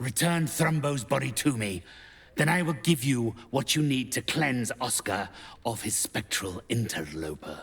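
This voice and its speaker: A man in a put-on character voice, at medium pitch and a moderate pace. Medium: video game. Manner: formal, condescending.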